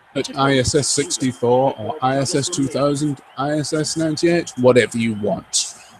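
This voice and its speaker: Over noticeable background noise, a man with a fairly high pitch and ordinary pitch variation talks at a moderate pace with hardly any pauses. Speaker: gaming streamer. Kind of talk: live gameplay commentary. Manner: animated; loud. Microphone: old game microphone, poor stereo mix audio.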